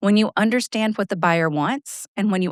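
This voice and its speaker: In a very clean recording with a silent background, a woman with a medium pitch talks at a fairly quick pace with lively intonation and a dry, close sound with no echo. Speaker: podcast host and sales coach. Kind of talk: solo podcast monologue. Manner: loud.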